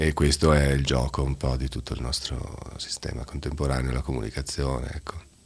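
Noticeable background noise lies behind a man with a very deep, low pitch. His delivery is monotone and flat at a fairly quick pace. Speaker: teacher. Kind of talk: casual radio conversation. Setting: studio.

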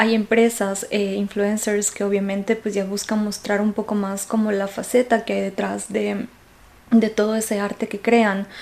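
Monotone, flat intonation from a woman at medium pitch and a fairly slow pace. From Ecuador. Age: 20s. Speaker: podcast host. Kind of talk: casual monologue. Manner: hesitant, many fillers.

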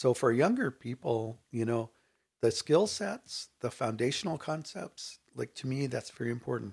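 Somewhat breathy, a man talks at a moderate pace and medium pitch. His intonation is lively, and the recording is very clean with a silent background. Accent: American. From Inland Southern California (Riverside area). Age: 60s. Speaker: artist and educator. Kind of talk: casual interview conversation. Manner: halting, many fillers.

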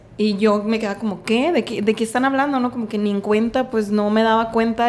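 This woman has a plain, everyday voice, pitched fairly high, and her intonation stays fairly even. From Mexico, Sinaloa (Mazatlán). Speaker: feminist activist. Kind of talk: casual interview.

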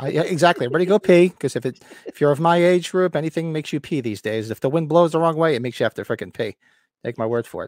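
Speaking very fast in a New Jersey accent, a man uses a fairly high pitch and lively intonation. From Northern New Jersey. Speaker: podcast co-host. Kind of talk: casual chat. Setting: livestream with live chat.

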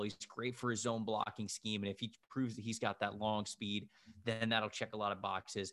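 The speaker has an American accent, talking at a fairly quick pace with monotone, flat intonation. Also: man. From Florida, Tampa area. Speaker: football analyst. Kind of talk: casual chat. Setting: video call.

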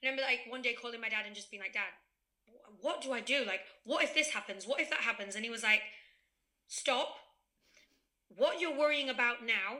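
At a fairly quick pace, a woman with a high pitch and a bright, sharp tone speaks with long, frequent pauses and big swings in loudness. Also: ordinary pitch variation. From Spain (raised there, English-born). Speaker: podcast guest. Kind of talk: casual chat.

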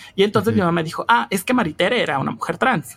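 This woman's intonation is lively. Her voice rises and falls a lot. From Mexico, Hidalgo. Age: 20s. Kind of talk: interview. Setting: remote recording.

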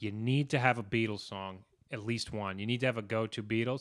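A plain, everyday voice from a man with an American accent, medium in pitch with ordinary variation, at a fairly quick pace, on a very clean recording over a silent background. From New York. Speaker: podcast co-host. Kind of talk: casual chat.

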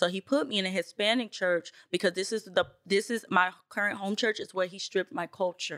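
Speaking at a fairly quick pace, a woman with an American accent has an unremarkable speaking voice, medium pitch and fairly even intonation, recorded with a dry, close sound and no echo. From New York City (Bronx), later Tennessee. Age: 30s. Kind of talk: testimony.

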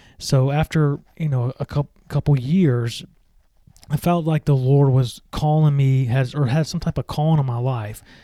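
Dark, mellow tone with a Southern US accent, moderate pace and fairly even intonation, in a very clean recording with a silent background and a dry, close sound with no echo. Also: man, fairly high pitch for a man. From US South, Mississippi (Meridian). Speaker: podcast host. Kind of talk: solo religious podcast talk and testimony.

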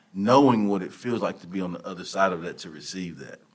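With a Texan accent, a man talks at a moderate pace in a very deep, low pitch with ordinary pitch variation. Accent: Texan Southern US. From Texas. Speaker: motivational speaker and football coach. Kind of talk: casual interview. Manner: animated.

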